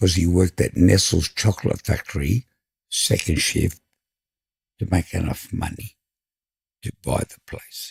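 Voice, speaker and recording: This man's voice is very deep and low, and somewhat breathy, with long, frequent pauses. The sound is dry and close, with no echo. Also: ordinary pitch variation. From Sydney, Australia (Five Dock). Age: 60s. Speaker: fish and chip shop owner. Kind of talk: casual interview chat.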